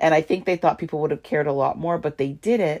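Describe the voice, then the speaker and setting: A woman is talking. Her tone is animated. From Canada. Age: 40s. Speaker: podcast host. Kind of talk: casual solo podcast monologue. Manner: animated, sassy, chatty.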